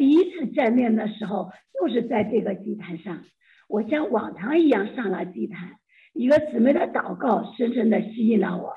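A woman's fairly high voice at a moderate pace, an unremarkable speaking voice with lively intonation. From China. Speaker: church member sharing testimony. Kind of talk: testimony.

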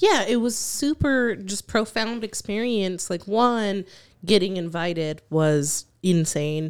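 A woman with a medium pitch and lively intonation speaks at a very slow pace on a very clean recording with a silent background. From Mexican-American, US. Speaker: podcast co-host. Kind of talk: casual chat. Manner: quiet.

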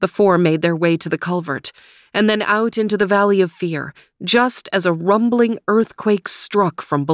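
It is a natural reading voice, with ordinary pitch variation.

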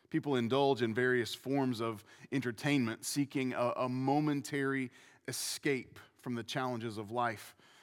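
A man speaks in an unremarkable speaking voice at medium pitch and a moderate pace. The recording is very clean, with a silent background. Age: 40s. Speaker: pastor. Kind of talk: sermon. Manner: repetitive false starts.

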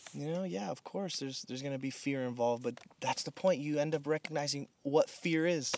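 With a normal speaking voice, a man talks at a fairly quick pace and a fairly high pitch, hardly pausing, his pitch variation ordinary. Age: 30s. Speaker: pastor. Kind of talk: casual chat. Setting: in person at a rented house in the desert.

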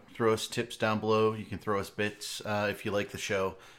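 In an ordinary speaking voice, a man talks at a fairly quick pace with a fairly low pitch. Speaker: live stream host. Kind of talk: casual live stream banter. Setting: live Twitch stream, online call.

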